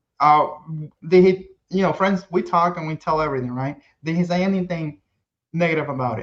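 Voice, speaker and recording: Speaking at a fairly quick pace with a non-native accent, a man uses a fairly high pitch, ordinary pitch variation and big swings in loudness. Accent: foreign accent, self-described. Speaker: kayak rigger and content creator. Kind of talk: casual podcast chat. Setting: live-streamed podcast.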